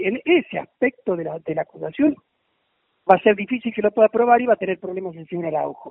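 At a fairly quick pace, a man with a high pitch speaks with lively intonation. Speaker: boxing federation official. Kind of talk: phone interview.

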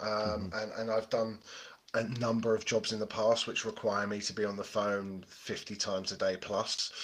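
In a British accent, a man speaks at a moderate pace with a fairly low pitch and monotone, flat intonation. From Britain. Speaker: podcast host, interviewed as guest. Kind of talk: casual interview chat.

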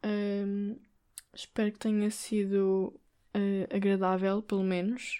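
A woman with a European Portuguese accent speaks very slowly in a dark, mellow tone. Her intonation is monotone and flat on a very clean recording with a silent background. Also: medium pitch for a woman. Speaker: podcast host. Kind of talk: solo monologue. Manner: hesitant, many fillers.

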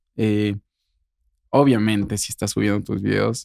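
With a dark, mellow tone and fairly low pitch, a man speaks at a moderate pace with fairly even intonation, the sound dry and close with no echo. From Querétaro, Mexico. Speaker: singer and influencer. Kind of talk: interview.

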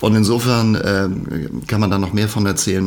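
A man with an ordinary speaking voice, fairly low in pitch, talks fairly quickly with fairly even intonation. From northern Germany, Schleswig-Holstein (Hohenwestedt). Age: 50s. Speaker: musician and secondary school teacher. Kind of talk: casual chat.

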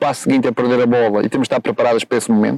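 A man at a medium pitch, with monotone, flat intonation and a dry, close sound with no echo. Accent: Madeiran. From Madeira, Portugal. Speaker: football coach. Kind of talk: interview. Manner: halting, with many fillers.

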